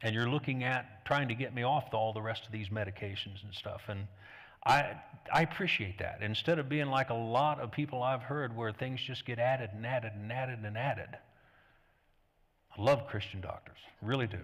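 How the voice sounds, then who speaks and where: A man speaks at a fairly quick pace, medium in pitch with ordinary pitch variation, in an ordinary speaking voice. The recording is very clean, with a silent background. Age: 60s. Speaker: pastor. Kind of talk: sermon. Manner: conversational.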